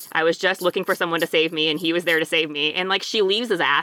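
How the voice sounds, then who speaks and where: The tone is bright and sharp, delivered at a very fast pace. The sound is dry and close, with no echo. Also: woman. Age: 30s. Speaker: podcast guest. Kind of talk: casual chat.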